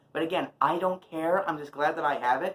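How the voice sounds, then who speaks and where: A man talks in a raised, projected voice at a moderate pace. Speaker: YouTuber doing unboxing videos. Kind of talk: casual unboxing vlog. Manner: shouting a little.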